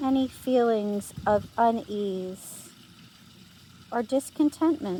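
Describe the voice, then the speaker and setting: Soft-spoken and very slow, a woman with a fairly high pitch and a dark, mellow tone shows ordinary pitch variation and leaves long, frequent pauses. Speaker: meditation guide. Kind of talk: guided meditation. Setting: outdoors.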